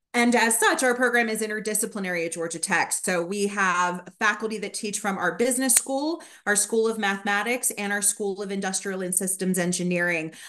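Her tone is bright and sharp, at a medium pitch for a woman. She moves at a fairly quick pace with ordinary pitch variation. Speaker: graduate program administrator. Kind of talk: informational presentation. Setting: video call. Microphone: video call.

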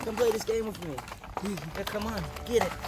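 Very fast speech from a man amid loud background noise. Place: garden. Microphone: phone near.

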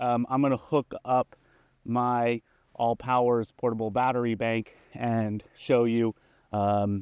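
The delivery is monotone and flat, at a very slow pace with very even loudness, in a dry sound with no echo over a quiet background. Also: man. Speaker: product reviewer. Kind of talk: product review demo. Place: open country.

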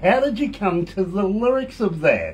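At a moderate pace, a man speaks in a high pitch with big pitch swings.

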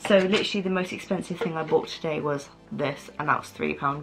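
Over faint music in the background, a woman talks at a moderate pace. Her voice is fairly low, with fairly even intonation. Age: 20s. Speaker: lifestyle YouTuber. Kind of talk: casual talk to camera. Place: home room. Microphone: camera far.

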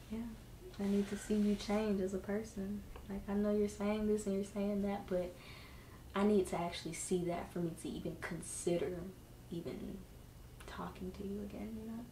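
A woman's medium-pitched, monotone, flat voice with long, frequent pauses, audible room echo and light background noise. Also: moderate pace. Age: young adult. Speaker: girlfriend of the host. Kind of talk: casual chat. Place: home room. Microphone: camera far.

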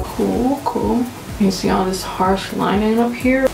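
There is light background noise and audible room echo as a woman talks. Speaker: beauty vlogger. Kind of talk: casual makeup tutorial talk to camera. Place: home room. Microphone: camera far.

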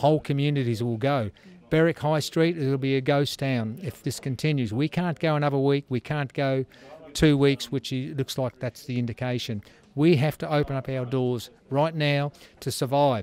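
The sound is dry, with no echo. A man speaks with fairly even intonation. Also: moderate pace. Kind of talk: interview answer. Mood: determined, defiant. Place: shop. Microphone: handheld.

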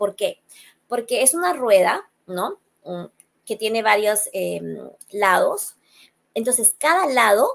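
A woman is speaking here. Her pace is fairly slow. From Peru. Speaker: psychologist; guest. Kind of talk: interview. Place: home room. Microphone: webcam.

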